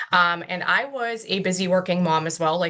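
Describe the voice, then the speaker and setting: Here is a woman with an unremarkable speaking voice and an American accent. Her pitch is fairly low, with ordinary variation. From Pittsburgh, Pennsylvania. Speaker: network marketing distributor. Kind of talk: testimony.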